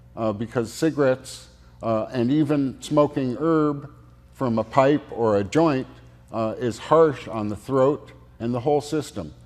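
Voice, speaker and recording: A man with a medium-pitched, unremarkable speaking voice talks at a fairly slow pace with ordinary pitch variation. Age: 60s. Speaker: medical cannabis oil maker. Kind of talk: casual interview. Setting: studio.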